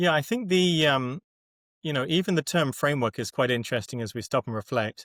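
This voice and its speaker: On a very clean recording with a silent background and a dry, close sound with no echo, a man with a British accent speaks at a fairly quick pace, fairly high in pitch, with lively intonation. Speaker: agile framework methodologist. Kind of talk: podcast interview.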